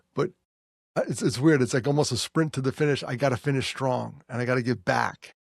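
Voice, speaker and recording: In a dry, close recording with no echo, a man with a New York accent speaks at a medium pitch, showing vocal fry and ordinary pitch variation. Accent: New York area American. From US Northeast, New York. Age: 60s. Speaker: podcast host and suicide prevention speaker. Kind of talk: casual chat. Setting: office.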